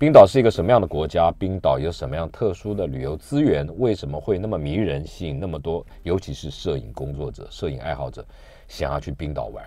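A man speaks at a fairly quick pace in a very deep, low voice with lively intonation, and the sound is dry with no echo. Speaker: radio show host. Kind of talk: radio host introduction. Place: studio.

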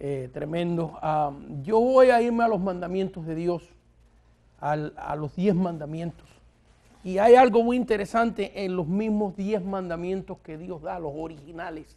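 A man's high-pitched voice has a dark, mellow tone and ordinary pitch variation, moving at a fairly slow pace against a quiet background. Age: 60s. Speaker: pastor and TV network founder; pastor. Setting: TV studio. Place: studio. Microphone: lapel.

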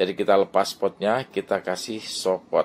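At a fairly slow pace, a man talks with fairly even intonation in an ordinary speaking voice. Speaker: orchid seller. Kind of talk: sales pitch, street-seller pitchman style. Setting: video for online sales, to camera. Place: garden. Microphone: phone near.

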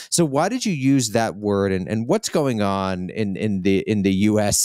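This man has an unremarkable speaking voice, fairly low in pitch with ordinary variation, at a moderate pace. The sound is dry and close with no echo, and the recording is very clean over a silent background. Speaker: podcast host. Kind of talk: interview.

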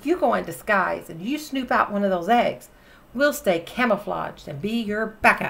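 The intonation is lively as a natural reading voice carries the text.

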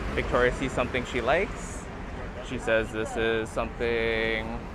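The sound is dry with no echo, though noticeable background noise is present. A man speaks at a fairly slow pace. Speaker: travel vlogger. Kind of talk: casual vlog chat. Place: market. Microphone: phone near.

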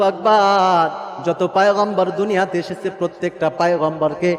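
This man's voice is high-pitched. Noticeable background noise can be heard. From Bangladesh, Naogaon. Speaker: Islamic preacher. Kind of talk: sermon. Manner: emotional storytelling.

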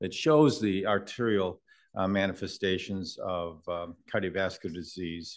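A man speaks in a normal speaking voice with a fairly low pitch. His pace is moderate, and the background is quiet. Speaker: invited medical lecturer. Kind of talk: lecture. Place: hall.

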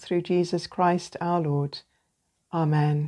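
Against a quiet background, a woman with a dark, mellow tone speaks at a very slow pace. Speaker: night prayer leader. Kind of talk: fervent prayer, liturgical night prayer with short reflection. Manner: earnest, devout, fervent. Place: home room. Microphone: phone near.

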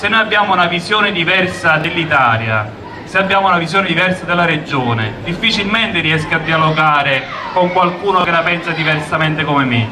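With noticeable background noise behind him, a man speaks at a fairly quick pace and a high pitch, showing ordinary pitch variation. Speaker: politician at a rally. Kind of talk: political rally speech. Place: street. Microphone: handheld.

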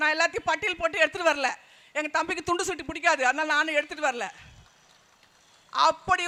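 A man with an extremely high pitch raises and projects his voice in a bright, sharp tone. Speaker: party speaker. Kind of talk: political rally speech.

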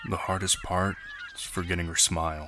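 There is noticeable background noise behind the voice. A man speaks at a fairly slow pace. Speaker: voice actor. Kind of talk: reflective narration about heartbreak and letting go. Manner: slow, thoughtful, emotional.

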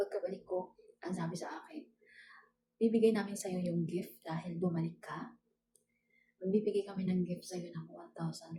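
At medium pitch with ordinary pitch variation, a woman speaks in a dark, mellow, somewhat breathy tone. She moves at a fairly quick pace but leaves long, frequent pauses. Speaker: domestic worker vlogger. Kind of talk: casual vlog narration. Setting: at employer's house.

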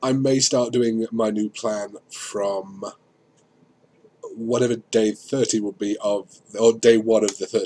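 Very slowly and in a monotone, flat intonation, a man talks at a medium pitch. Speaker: vlogger. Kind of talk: casual video diary. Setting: at a computer. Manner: hesitant, many fillers.

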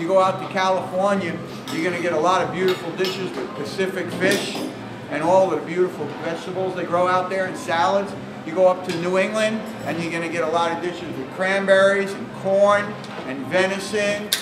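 Over noticeable background noise, a man with a high pitch talks fairly quickly in a monotone, flat intonation. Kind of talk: cooking demonstration to live audience. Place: hall. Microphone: camera far.

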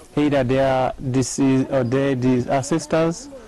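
A man speaking at a fairly slow pace, the sound dry with no echo. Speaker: pastor. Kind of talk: interview answer. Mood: earnest, explanatory. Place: open country.

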